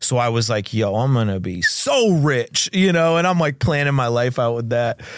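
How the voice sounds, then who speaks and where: A man with an American accent speaks in a normal speaking voice at a medium pitch. His pitch varies in an ordinary way, and the recording is very clean with a silent background. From Maine, US. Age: 30s. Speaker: rapper. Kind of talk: casual chat.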